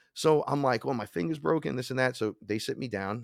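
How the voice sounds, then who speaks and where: Fairly quick, lively-intoned man with a New York accent, in a dry, close sound with no echo against a quiet background. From New York, the Bronx. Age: 40s. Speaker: shaman and hip-hop musician. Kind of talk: storytelling interview.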